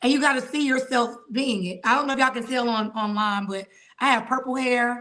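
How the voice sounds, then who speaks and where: A woman with a high pitch speaks in an animated, bright and sharp tone. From Atlanta, Georgia. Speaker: judge. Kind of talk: podcast interview. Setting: video podcast.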